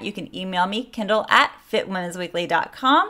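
A woman's speech proceeds at a moderate pace, with a quiet background. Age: 40s. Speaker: fitness coach and podcast host; fitness coach, podcast host. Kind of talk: casual solo podcast talk. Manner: animated. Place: home room. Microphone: studio mic.

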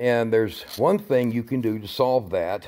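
A man speaks at a moderate pace with fairly even intonation and a dark, mellow tone. The background is quiet. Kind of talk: casual vlog chat. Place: garage. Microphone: phone near.

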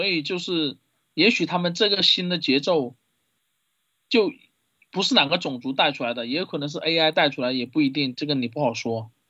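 A man's fairly high voice, broken by long, frequent pauses. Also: ordinary pitch variation, moderate pace. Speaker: livestream call-in guest. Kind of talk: casual chat. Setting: online voice call. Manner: halting.

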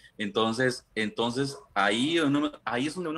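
A man talks at a moderate pace in a Costa Rican accent. His tone is bright and sharp, with ordinary pitch variation. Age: 30s. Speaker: guest sharing personal experience; guest. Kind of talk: casual interview. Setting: remote video call. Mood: personal, reflective. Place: home room. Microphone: video call.

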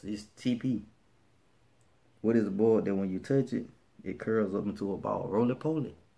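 A man with an American accent talks at a moderate pace in a dark, mellow, relaxed tone. His pitch varies in an ordinary way, with long, frequent pauses. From Birmingham, Alabama. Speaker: vlogger. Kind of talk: casual talk to camera. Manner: relaxed, conversational. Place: home room. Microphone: phone near.

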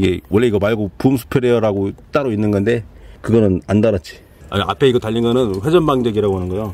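A man speaks at a very fast pace with a fairly low pitch and a dark, mellow tone. His pitch varies in an ordinary way, and the sound is dry with no echo. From Chungcheong, South Korea. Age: 30s. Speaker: young farmer. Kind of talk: casual farm machinery review interview. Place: farm. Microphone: camera far.

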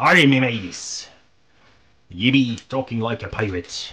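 At a fairly slow pace, a man puts on a character voice. His pitch sits at medium. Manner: exaggerated, comical.

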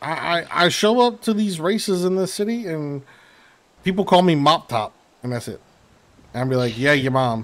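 A man with an American accent talks at a moderate pace, leaving long, frequent pauses. His pitch is high and swings very widely. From US South. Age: 30s. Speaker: gaming streamer. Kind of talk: casual livestream chat while gaming. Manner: casual and profane. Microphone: headset.

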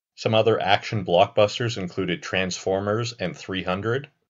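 Here a man uses an unremarkable speaking voice, fairly low in pitch, at a moderate pace with ordinary pitch variation. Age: 20s. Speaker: YouTube film commentator. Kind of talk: scripted narration.

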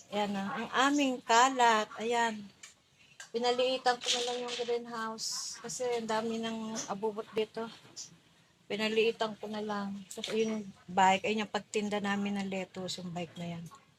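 Against noticeable background noise, a woman speaks at a moderate pace in a fairly high voice with fairly even intonation. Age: middle-aged. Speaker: vlogger. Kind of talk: casual vlog narration. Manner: halting.

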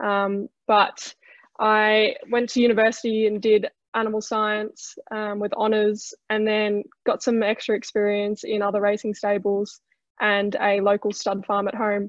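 Against a quiet background, a woman with an Australian accent talks at a fairly high pitch and a fairly slow pace, her intonation monotone and flat, in a dry sound with no echo. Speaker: trainee in horse racing leadership program; panelist. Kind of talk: webinar presentation. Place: home room. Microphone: video call.

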